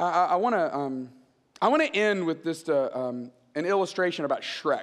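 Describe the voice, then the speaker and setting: Pitched high, a man talks at a moderate pace with ordinary pitch variation. His tone is animated. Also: quiet background. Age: 40s. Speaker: guest preacher. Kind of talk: sermon. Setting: church stage with audience. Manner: conversational, animated. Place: church. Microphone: headset.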